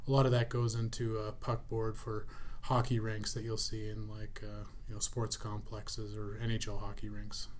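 There is audible room echo as a man with a Canadian accent speaks at a moderate pace. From Canada, Prairies (grew up Cold Lake, Alberta). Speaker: plastics company president. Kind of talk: interview.

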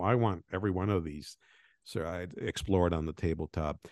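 A man's very deep, low voice at a fairly quick pace, with ordinary pitch variation and a quiet background. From Venezuela and Colombia. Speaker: game designer. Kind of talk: interview.

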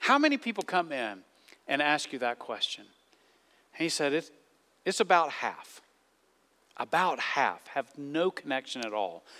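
A man with a Southern US accent, fairly high in pitch, with long, frequent pauses. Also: moderate pace, dry, close sound with no echo. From US South. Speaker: pastor. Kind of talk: sermon. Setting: church.

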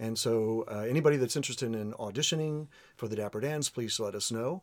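A man with an American accent speaks at medium pitch in a plain, everyday voice, with ordinary pitch variation. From Orlando, Florida. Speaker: barbershop quartet singer. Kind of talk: casual chat.

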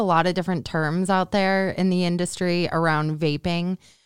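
The recording is very clean, with a silent background and a dry, close sound with no echo, as a woman speaks at a fairly low pitch. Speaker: podcast host. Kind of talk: interview.

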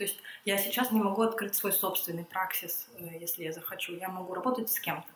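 Woman's medium-pitched voice at a fairly quick pace, ordinary pitch variation. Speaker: psychiatrist and psychotherapist. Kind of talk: casual interview. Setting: home kitchen.

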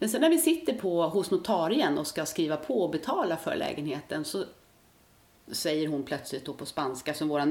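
A woman with an ordinary speaking voice talks at a fairly quick pace with lively intonation. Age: 50s. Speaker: retired nurse, part-time Mallorca resident. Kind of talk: interview.

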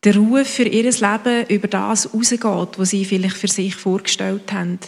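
In an unremarkable speaking voice, the delivery comes at a fairly slow pace with fairly even intonation. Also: woman. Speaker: congregation member praying. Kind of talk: spoken prayer.

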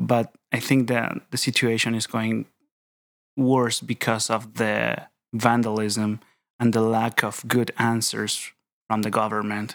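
Very slowly and in a monotone, flat intonation, a man with a Chilean accent speaks at medium pitch on a very clean recording with a silent background. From Chile, Rancagua. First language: Spanish. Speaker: theology PhD student. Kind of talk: casual interview. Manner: halting.

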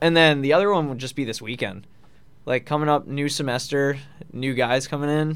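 With an American accent, a man speaks at a fairly quick pace and a fairly high pitch. He has ordinary pitch variation and a plain, everyday voice. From Long Island, New York. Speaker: college hockey captain. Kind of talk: radio interview.

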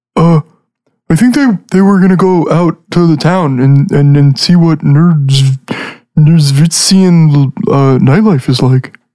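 This is a put-on character voice at a middle pitch. It moves along at a fairly slow pace. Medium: actual play. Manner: hesitant, filler-heavy, enthusiastic.

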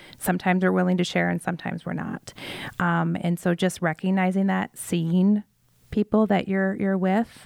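A woman with an American accent talks at a fairly quick pace, the sound dry and close with no echo. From Iowa, US Midwest. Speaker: school leader and former athlete. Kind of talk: casual interview chat. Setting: studio.

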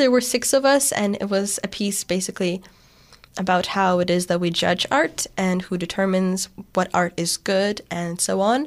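Her speech comes at a moderate pace, and this woman's pitch sits in the medium range. The rise and fall of her voice is ordinary. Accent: Lithuanian. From Lithuania, then Canada from age 10. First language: Lithuanian. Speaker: theater student. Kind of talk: casual interview. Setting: studio.

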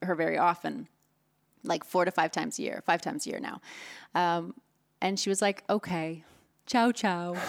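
With a normal speaking voice, a woman talks at a fairly low pitch on a very clean recording with a silent background. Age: 40s. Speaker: podcast host and poker interviewer. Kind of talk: interview.

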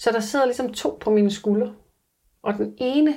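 A woman speaks in a dark, mellow tone at a moderate pace, with ordinary pitch variation. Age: 30s. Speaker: reality TV survival contestant. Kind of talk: interview. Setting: in person with host.

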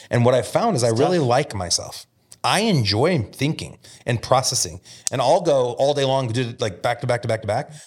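A man speaks at a fairly quick pace with an American accent. His voice is somewhat breathy and sits at a medium pitch. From Omaha, Nebraska (US Midwest). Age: 40s. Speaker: real estate brokerage founder. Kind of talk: casual interview conversation. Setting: podcast studio.

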